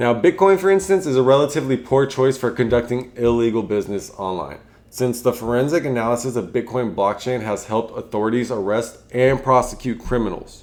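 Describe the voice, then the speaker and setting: On a very clean recording with a silent background, a man mumbles at a fairly quick pace, his medium pitch showing ordinary variation. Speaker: finance YouTuber and podcast host. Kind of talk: casual solo explainer video. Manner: mumbling; halting.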